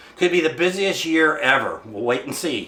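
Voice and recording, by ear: A man speaks at a moderate pace with lively intonation and a fairly high pitch. His tone is bright and sharp, and audible room echo surrounds it.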